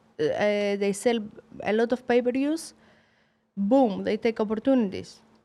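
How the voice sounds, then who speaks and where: The voice comes in a Greek accent at a fairly slow pace, with ordinary pitch variation. Long, frequent pauses break up the speech. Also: woman, fairly high pitch for a woman. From Greece. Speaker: professional boxer. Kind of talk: interview. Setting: studio. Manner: halting, broken English.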